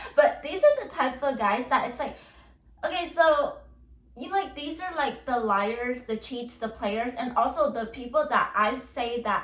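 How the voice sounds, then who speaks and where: A woman with a high voice speaks in an animated tone at a fairly slow pace. Audible room echo surrounds her words. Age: 20s. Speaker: podcast host. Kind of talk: solo monologue podcast. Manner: rambling filler-heavy speech.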